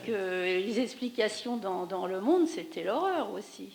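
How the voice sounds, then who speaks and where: A woman speaks at a moderate pace with very wide pitch swings amid noticeable background noise. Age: 60s. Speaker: audience member. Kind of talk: post-screening discussion. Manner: halting.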